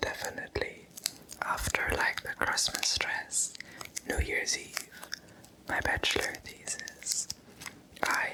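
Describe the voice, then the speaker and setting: A man whispers at a very slow pace with very even loudness and long, frequent pauses, over noticeable background noise. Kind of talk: ASMR, soft-spoken talking to camera. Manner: soft-spoken, whispering.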